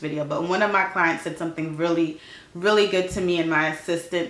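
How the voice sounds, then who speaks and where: Through audible room echo and noticeable background noise, a woman with a fairly low pitch speaks fairly quickly in a monotone, flat intonation. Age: 30s. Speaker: lifestyle vlogger. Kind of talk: casual chat. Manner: fast.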